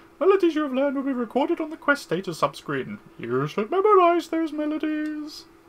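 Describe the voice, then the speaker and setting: A squeaky, high-pitched put-on character voice at a fairly quick pace with hardly any pauses. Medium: game stream. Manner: long-winded, instructive.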